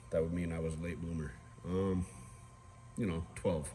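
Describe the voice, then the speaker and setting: Fairly quick, somewhat breathy speech with audible room echo. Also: man. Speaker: guitar builder. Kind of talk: tutorial. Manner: casual with many fillers.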